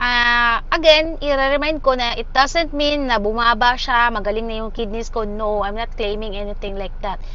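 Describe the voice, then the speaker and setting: A high-pitched woman speaks at a moderate pace with hardly any pauses. Room echo is audible. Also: ordinary pitch variation. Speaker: dialysis patient vlogger. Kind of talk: casual vlog update.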